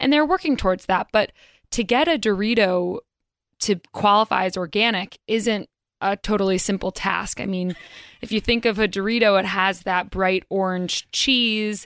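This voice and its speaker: A woman with a plain, everyday voice and a medium pitch talks at a moderate pace with ordinary pitch variation, on a very clean recording with a silent background and a dry, close sound with no echo. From North Carolina. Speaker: business reporter. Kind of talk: radio interview. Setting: studio.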